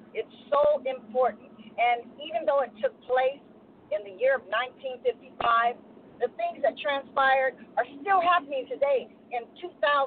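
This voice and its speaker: Noticeable background noise sits behind a woman with a high voice. She talks at a fairly slow pace with ordinary pitch variation. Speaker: stage actor. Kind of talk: casual radio call-in. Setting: phone call.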